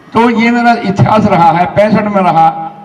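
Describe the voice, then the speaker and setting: Amid noticeable background noise and audible room echo, a man speaks at a high pitch with fairly even intonation. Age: 80s+. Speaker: army veteran and retired SDM. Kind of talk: public speech.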